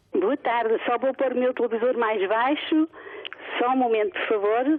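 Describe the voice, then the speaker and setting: With noticeable background noise behind her, a woman speaks at a high pitch and a moderate pace, with ordinary pitch variation and very even loudness. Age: 60s. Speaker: retired caller. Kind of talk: phone-in opinion. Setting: phone call.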